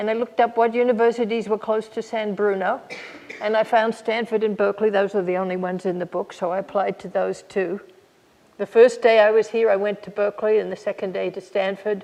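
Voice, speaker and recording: Speaking at a fairly quick pace, a woman keeps a medium pitch in a monotone, flat intonation. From Australia, Melbourne. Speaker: physicist. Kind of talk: public talk.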